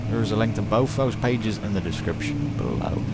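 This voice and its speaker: A man with a British accent talks at a fairly quick pace and a fairly low pitch, with fairly even intonation, amid noticeable background noise and audible room echo. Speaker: gaming commentator. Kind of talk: let's play commentary.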